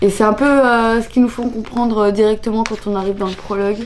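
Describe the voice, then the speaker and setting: Talking at a fairly quick pace, the speaker comes through over noticeable background noise. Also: woman. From France, Annecy (Alps). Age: 20s. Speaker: vlogger. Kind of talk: casual vlog talk. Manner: casual, hesitant with fillers.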